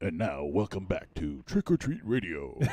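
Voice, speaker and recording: A man performs a put-on character voice at a very deep, low pitch. His pitch swings very widely as he talks at a moderate pace. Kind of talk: announcer delivery. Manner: dramatic, grand.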